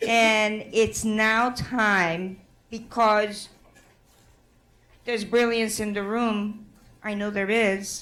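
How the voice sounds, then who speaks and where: Speaking very slowly with long, frequent pauses, a woman with a fairly high voice keeps a monotone, flat intonation in a room with audible echo. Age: 60s. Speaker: conference facilitator and activist. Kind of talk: conference address to audience. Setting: conference room with audience.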